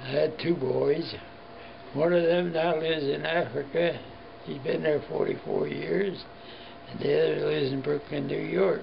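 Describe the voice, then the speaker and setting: A man with a Midwestern American accent speaks at a moderate pace with long, frequent pauses. Noticeable background noise and audible room echo fill the recording. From US Midwest, Cincinnati, Ohio. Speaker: war veteran. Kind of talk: interview.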